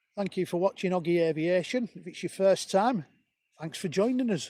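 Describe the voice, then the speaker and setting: A man with a northern English accent speaks at a high pitch in a dark, mellow tone, with big swings in loudness and a dry, close sound with no echo. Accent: broad northern English. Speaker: planespotting live streamer. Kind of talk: live commentary. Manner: casual, chatty.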